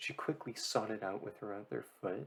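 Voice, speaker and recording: A soft-spoken man talks at a fairly low pitch. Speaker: audiobook reader. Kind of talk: reading aloud. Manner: slurring.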